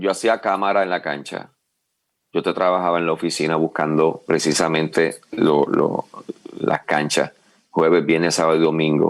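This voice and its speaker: This man's voice is very deep and low in pitch, with a monotone, flat intonation. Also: moderate pace. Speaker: wrestling commentator. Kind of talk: interview answer.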